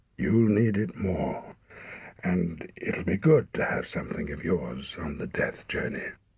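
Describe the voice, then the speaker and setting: In a put-on character voice, a man speaks at a fairly slow pace with a fairly low pitch. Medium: read story. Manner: stern, terse.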